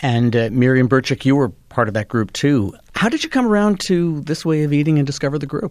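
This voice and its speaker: This man has an ordinary speaking voice, fairly high in pitch. He talks fairly quickly with lively intonation. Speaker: radio host. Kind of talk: radio interview.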